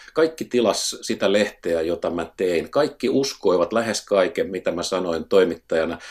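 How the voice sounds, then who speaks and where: A man with a normal speaking voice talks at a fairly low pitch. His pace is fairly slow and his intonation lively. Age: 60s. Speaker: newspaper editor turned professor. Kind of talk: interview.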